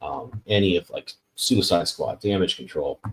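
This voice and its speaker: The man's voice sits fairly low in pitch and sounds somewhat breathy. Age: 40s. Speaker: podcast host and comic artist. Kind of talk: casual interview chat.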